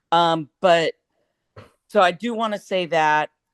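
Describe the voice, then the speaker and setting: A plain, everyday voice from a woman with an American accent, fairly low in pitch and fairly slow, with a dry, close sound and no echo. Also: quiet background. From Florida. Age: 60s. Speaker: meeting participant. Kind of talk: question from audience.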